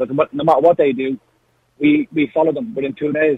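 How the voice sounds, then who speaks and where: A man speaks with an Irish accent. His fairly high pitch holds a fairly even intonation. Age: young. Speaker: caller. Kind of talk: radio phone-in. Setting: phone call.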